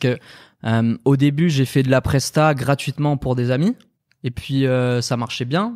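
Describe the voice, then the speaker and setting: A man's plain, everyday voice at a medium pitch and moderate pace, with fairly even intonation, a dry, close sound with no echo, and a very clean recording with a silent background. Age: 20s. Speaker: entrepreneur and video designer. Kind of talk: casual chat. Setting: live stream.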